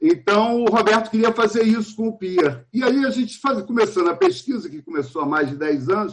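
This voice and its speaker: Hardly pausing, a man speaks at a fairly quick pace in a high pitch, with very wide pitch swings. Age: 60s. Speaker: film director and archive researcher. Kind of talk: panel talk at a film festival.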